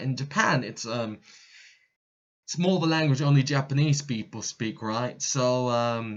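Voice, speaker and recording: A man with a Cockney accent, medium pitch, ordinary pitch variation and a moderate pace. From East London, England. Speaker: expat in Japan. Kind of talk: casual talk to camera. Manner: casual, hesitant with many fillers.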